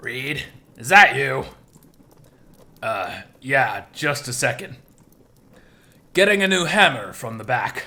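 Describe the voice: A gruff put-on character voice at a fairly slow pace, with long, frequent pauses. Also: man, medium pitch for a man.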